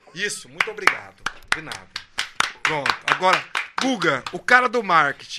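A high-pitched man talks at a moderate pace with lively intonation and big swings in loudness. Long, frequent pauses break it up, and there is noticeable background noise. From Brazil, São José dos Campos. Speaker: podcast host, musician. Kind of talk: casual chat.

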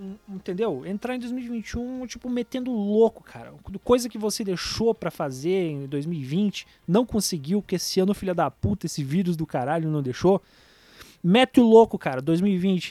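With a dark, mellow tone and high pitch, a man talks at a moderate pace with lively intonation and big swings in loudness, the sound dry and close with no echo. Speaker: podcast host. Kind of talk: casual monologue announcement. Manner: animated.

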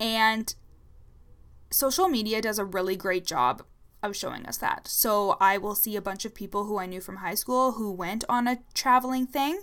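An ordinary speaking voice at a moderate pace. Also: woman, fairly high pitch for a woman, ordinary pitch variation. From Ontario, Canada. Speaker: leadership coach podcaster. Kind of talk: casual solo podcast monologue. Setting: home recording. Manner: casual, sassy, uses fillers.

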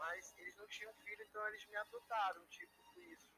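A man speaks at a moderate pace. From Rio de Janeiro city, Brazil. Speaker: art teacher. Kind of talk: interview. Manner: halting.

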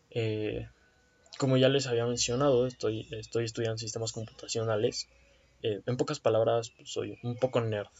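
A man with a Mexican accent speaks at a moderate pace and a medium pitch. His intonation is monotone and flat. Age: 20s. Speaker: podcast host, computer science student. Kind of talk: casual monologue.

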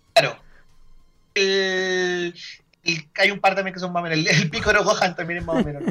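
With a Chilean accent, a man talks in a raised, projected voice that sits high in pitch, keeping a moderate pace and fairly even intonation while leaving long, frequent pauses. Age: 30s. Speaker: card game tournament organizer. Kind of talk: casual interview chat.

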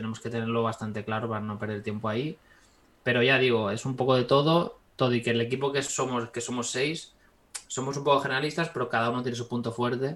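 A man talks in an unremarkable speaking voice. His pitch is medium, and his intonation stays fairly even. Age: 20s. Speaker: 3D visual effects artist. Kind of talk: casual interview.

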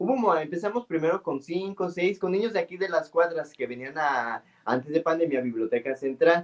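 Delivering his words at a moderate pace with hardly any pauses, a man uses lively intonation and a high pitch. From Mexico, San Luis Potosí. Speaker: librarian and storyteller. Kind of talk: interview.

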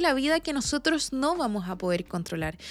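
With a Chilean accent, a woman speaks at a moderate pace, her pitch swinging very widely. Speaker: podcast host. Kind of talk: interview.

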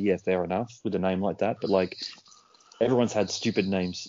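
Speaking at a fairly quick pace, a man with an Australian accent has a very deep, low pitch. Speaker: podcast co-host. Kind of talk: casual chat.

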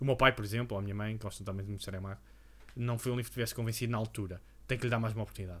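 At a very fast pace, a man with medium pitch talks in a flat monotone. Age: 30s. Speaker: podcast co-host. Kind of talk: casual chat.

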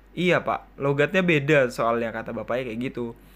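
With a normal speaking voice, a man talks at a fairly quick pace using lively intonation. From Kalimantan Timur, Indonesia. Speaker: podcaster and video creator. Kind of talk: casual chat. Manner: casual, rambling, jokey.

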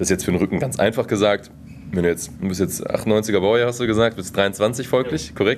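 A man has an unremarkable speaking voice with a fairly low pitch. He talks at a moderate pace with ordinary pitch variation. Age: 20s. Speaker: team physiotherapist. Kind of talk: interview. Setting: sports hall after training.

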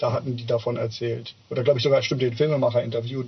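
Intonation stays monotone and flat as a man speaks at a fairly quick pace. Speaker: podcast co-host. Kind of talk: casual chat. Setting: on-location outdoor recording.

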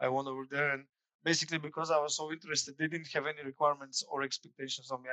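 Very fast speech in a Bulgarian accent. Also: man. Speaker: former student, customer service specialist. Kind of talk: interview. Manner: casual.

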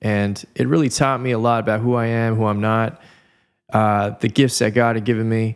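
A man with a Californian accent speaks at a medium pitch and a moderate pace, keeping his intonation fairly even. The recording is very clean, with a silent background. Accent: Californian American English. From Southern California. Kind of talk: casual podcast interview.

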